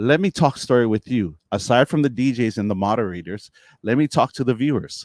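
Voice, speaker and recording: Fairly quick and animated, the lively intonation comes through a dry, close sound with no echo in a very clean recording with a silent background. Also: man. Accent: Hawaiian. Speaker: streamer and DJ talk show host. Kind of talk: live stream talk show. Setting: live stream.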